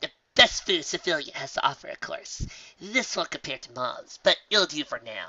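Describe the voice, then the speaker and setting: Using a put-on character voice, a man speaks at a high pitch. He keeps a moderate pace. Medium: read story. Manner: brash, sarcastic.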